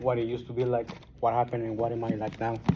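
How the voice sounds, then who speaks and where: A man's medium-pitched voice with a strong Guatemalan accent at a very fast pace, over noticeable background noise. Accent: thick Guatemalan Spanish. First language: Spanish. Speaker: recovering alcoholic. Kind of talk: testimony. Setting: support group meeting.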